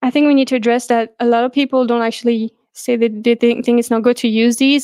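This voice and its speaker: A woman with a non-native accent and fairly high pitch speaks very fast in a monotone, flat intonation, recorded with a dry, close sound that has no echo. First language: not English. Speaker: vegan activist podcast host. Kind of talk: casual conversation.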